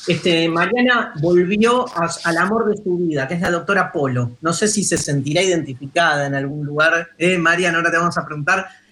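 A man's high pitch in a Rioplatense accent, with ordinary pitch variation, a moderate pace, hardly any pauses and noticeable background noise. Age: 50s. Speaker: radio host, philosopher. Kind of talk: casual radio chat.

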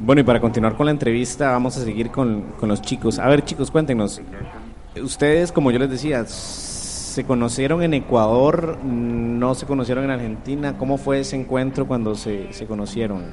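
Noticeable background noise runs under this recording. A man speaks at a medium pitch and moderate pace with ordinary pitch variation. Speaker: radio host. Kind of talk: casual chat.

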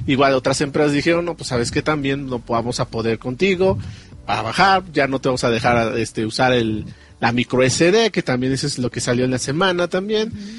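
At a fairly quick pace, a man of medium pitch talks with lively intonation. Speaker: gaming podcast co-host. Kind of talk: casual chat.

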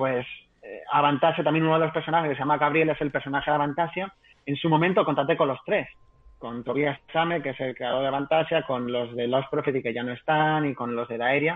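A man talks at a fairly quick pace with fairly even intonation. His pitch is fairly high, in a plain, everyday voice. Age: 30s. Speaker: novelist. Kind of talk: interview. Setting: live stream.

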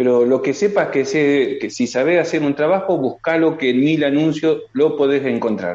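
Speaking at a fairly quick pace, a man has a fairly high pitch and a dark, mellow tone. His loudness stays very even, with ordinary pitch variation. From Argentina. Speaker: construction worker, immigrant. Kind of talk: video call interview. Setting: video call.

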